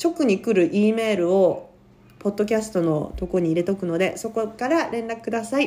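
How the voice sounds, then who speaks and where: A dark, mellow tone carries lively intonation at a moderate pace. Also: woman. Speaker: podcast host. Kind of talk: casual chat. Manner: loud.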